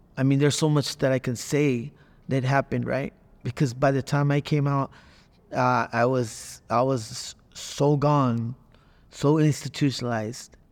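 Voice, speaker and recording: A man talks in an ordinary speaking voice at medium pitch and a moderate pace. His intonation is fairly even and his loudness very even, on a very clean recording with a silent background. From Northern California (Watsonville). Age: 50s. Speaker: formerly incarcerated ex-gang member. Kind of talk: testimony.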